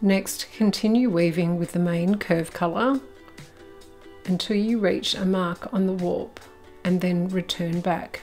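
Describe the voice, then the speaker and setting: A woman with an Australian accent and a calm tone, music in the background. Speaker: weaving teacher, designer and artist. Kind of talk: craft tutorial narration. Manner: calm, instructional.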